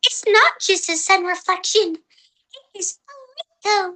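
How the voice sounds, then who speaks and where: Squeaky and extremely high-pitched, this put-on character voice moves at a fairly slow pace. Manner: small high little voice.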